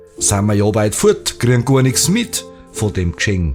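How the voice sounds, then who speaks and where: Over music in the background, a man with a Bavarian accent speaks at a very slow pace with very wide pitch swings. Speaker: dialect poet. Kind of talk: poetry reading.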